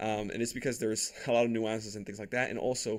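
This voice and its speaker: A very fast pace on a very clean recording with a silent background. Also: man. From Dominican Republic. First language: Spanish. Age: 20s. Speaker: entrepreneur podcaster. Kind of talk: personal story monologue. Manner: casual with many fillers.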